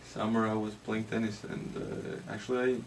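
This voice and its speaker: Noticeable background noise sits behind a man speaking with a Latvian accent. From Latvia, Jurmala. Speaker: ice hockey player. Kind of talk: interview. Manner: halting.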